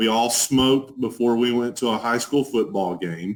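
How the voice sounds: A man with a strong Texas accent speaks at a fairly slow pace, his medium pitch showing ordinary variation.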